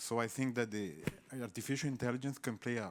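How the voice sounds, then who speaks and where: A man with a non-native accent speaks at a medium pitch. The recording is very clean, with a silent background. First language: not English. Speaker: researcher asking from the audience. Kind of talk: audience question. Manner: halting.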